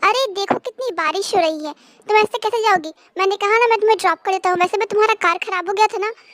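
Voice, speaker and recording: In a put-on character voice, a woman speaks at a very fast pace and an extremely high pitch, with ordinary pitch variation. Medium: fan dub. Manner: gentle, warm.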